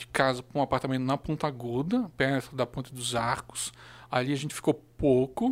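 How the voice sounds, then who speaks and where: A man talks at a moderate pace in an ordinary speaking voice, pitched fairly high. His intonation stays fairly even. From Blumenau, Santa Catarina, southern Brazil. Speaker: local history social media page curator. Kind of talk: casual chat.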